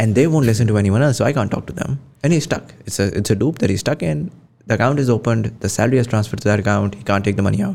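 A man with a Pakistani accent, fairly low pitch, lively intonation and a very fast pace. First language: Urdu. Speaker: podcast host. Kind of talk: interview conversation.

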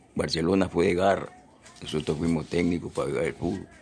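With noticeable background noise behind him, a man speaks at a fairly quick pace in a very deep, low pitch. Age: 80s+. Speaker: retired footballer. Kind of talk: interview. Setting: at his home.

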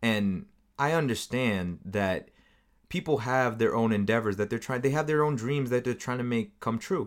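With an American accent, a man talks at a medium pitch with ordinary pitch variation in an unremarkable speaking voice, recorded very cleanly against a silent background. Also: moderate pace. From United States. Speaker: podcast host. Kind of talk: casual chat.

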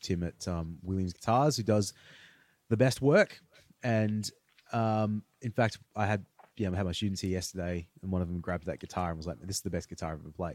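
In a dry, close recording with no echo, a man with a very deep, low voice speaks at a fairly quick pace with ordinary pitch variation. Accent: Australian. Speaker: podcast host, guitarist. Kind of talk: casual chat.

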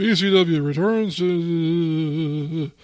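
A booming, put-on character voice. The pitch sits in the middle range. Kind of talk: ring announcer delivery. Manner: booming, hyped.

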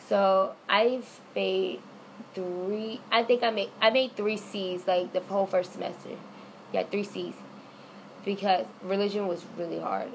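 A woman of medium pitch with an American accent and an ordinary speaking voice talks at a fairly slow pace. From Florida. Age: 20s. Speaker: college student. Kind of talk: casual interview.

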